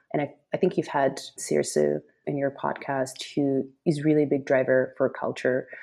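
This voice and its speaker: A woman with a Russian accent speaks at a fairly slow pace with hardly any pauses, over a quiet background. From Russia, Moscow. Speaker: web3 marketing lead. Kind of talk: interview.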